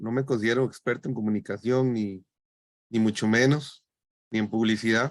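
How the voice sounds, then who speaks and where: A man speaks at a moderate pace and a medium pitch, in a flat monotone. Long pauses come often. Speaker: biologist and university lecturer. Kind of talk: webinar presentation.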